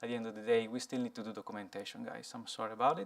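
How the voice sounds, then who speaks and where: A medium-pitched man with an Italian accent. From Italy. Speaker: software engineer, conference speaker. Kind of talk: conference talk. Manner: halting, many fillers.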